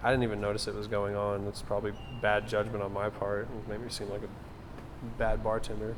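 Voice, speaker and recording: A man with an American accent at a moderate pace, with audible room echo. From Oklahoma Panhandle, US. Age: 20s. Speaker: bartender. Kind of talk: documentary interview. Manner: casual.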